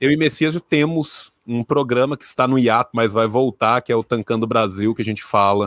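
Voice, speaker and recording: In a dry, close sound with no echo and a very clean recording with a silent background, a man with a strong rural Minas Gerais accent speaks with ordinary pitch variation. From Minas Gerais, Brazil (rural). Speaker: historian and YouTuber. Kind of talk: casual chat.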